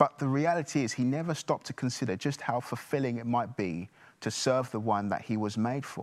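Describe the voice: The recording holds simple, plain reading aloud.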